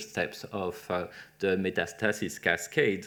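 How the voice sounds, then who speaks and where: A man with a French accent on a very clean recording with a silent background. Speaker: webinar moderator, cancer researcher. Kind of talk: Q&A moderation. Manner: hesitant, many fillers.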